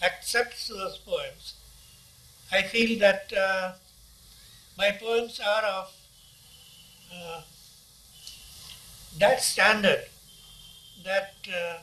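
In an Indian accent, a man speaks very slowly in a high, raised, projected voice with fairly even intonation and long, frequent pauses. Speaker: poet. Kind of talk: interview answer. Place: home room. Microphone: phone near.

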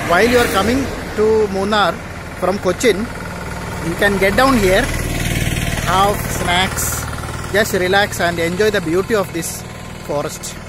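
Against noticeable background noise, a man speaks at a moderate pace with long, frequent pauses in a dry sound with no echo. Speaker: travel blogger. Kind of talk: casual vlog chat. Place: street. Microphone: phone near.

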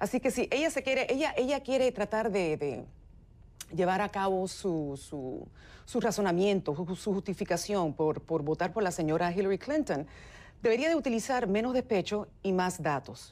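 On a very clean recording with a silent background, a woman at medium pitch talks at a moderate pace with very wide pitch swings. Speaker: political commentator, Trump supporter. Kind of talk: heated debate.

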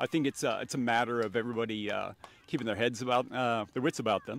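This man talks at a very fast pace, and the sound is dry with no echo. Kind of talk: interview answer. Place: stadium. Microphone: handheld.

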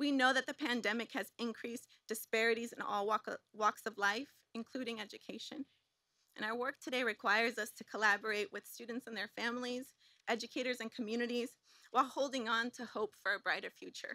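Fairly high in pitch, a woman talks at a fairly quick pace in an unremarkable speaking voice with fairly even intonation. The recording is dry and close, with no echo. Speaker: special education teacher. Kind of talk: prepared speech. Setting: stage with audience.

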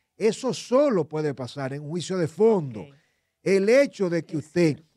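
Lively intonation runs through a man's high voice. The sound is dry with no echo, over a quiet background. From Dominican Republic. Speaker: lawyer and legal commentator; lawyer, legal commentator. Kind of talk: legal analysis on a radio talk show. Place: studio. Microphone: studio mic.

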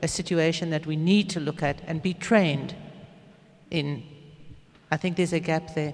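Delivered at a moderate pace with fairly even intonation, the speech is broken by long, frequent pauses. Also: woman. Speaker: audience member. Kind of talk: audience question. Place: hall.

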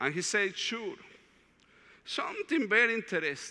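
With a Latin American accent, a man speaks in a raised, projected voice with a bright, sharp tone. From Colombia, Medellin. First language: Spanish. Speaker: diocesan director of evangelization, retreat speaker; speaker. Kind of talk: retreat talk. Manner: halting, with frequent fillers. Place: hall.

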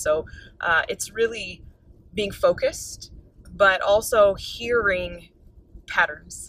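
Here a woman talks. Her recording is dry, without any echo. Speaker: interview guest. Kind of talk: interview answer. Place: car. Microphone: phone near.

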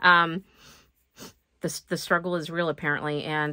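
A woman talks at a very fast pace in a very deep, low pitch. Her intonation is monotone and flat, and the background is quiet. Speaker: planner hobbyist YouTuber. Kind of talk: casual talk to camera. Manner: soft-spoken. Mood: self-deprecating, relaxed. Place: home room. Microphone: phone near.

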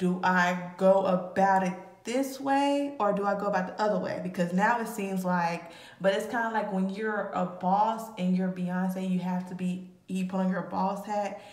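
A woman speaks at a moderate pace in audible room echo. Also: fairly even intonation. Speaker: tarot reader. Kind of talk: casual tarot reading commentary. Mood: casual, amused. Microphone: phone near.

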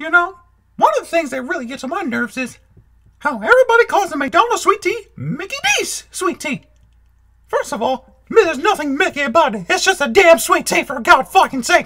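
A cartoonish character voice sits at an extremely high pitch. It moves at a fairly quick pace. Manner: ranting, irritated.

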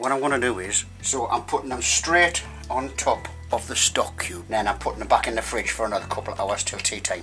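Someone speaks at a fairly quick pace while clear music plays in the background. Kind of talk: casual cooking chat. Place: kitchen. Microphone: phone near.

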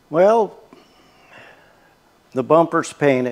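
A man speaks with a dark, mellow tone at a high pitch. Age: 70s. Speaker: DIY truck restorer. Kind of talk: casual workshop talk to camera. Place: garage. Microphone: lapel.

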